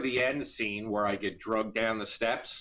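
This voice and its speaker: Speaking with an American accent, a man uses a medium pitch and a bright, sharp tone. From US Northeast, Philadelphia area. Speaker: independent filmmaker and actor. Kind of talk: interview.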